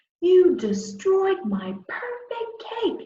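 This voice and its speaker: This is a put-on character voice with extremely high pitch. A slight echo is audible. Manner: angry, shouting.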